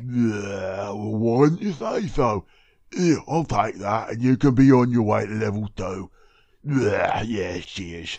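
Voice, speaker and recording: The pace of this man's speech is fairly slow. His pitch sits in the medium range. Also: ordinary pitch variation. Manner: dim-witted, gruff, childish.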